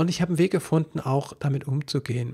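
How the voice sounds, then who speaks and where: A man talks in a somewhat breathy voice with a dark, mellow tone. His pitch variation is ordinary, and the background is quiet. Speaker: parenting coach and podcast host; parenting coach, podcast host. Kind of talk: solo podcast monologue about a coaching program. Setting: solo recording on video. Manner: halting, with many fillers. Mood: earnest, personal, calm. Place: home room. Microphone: studio mic.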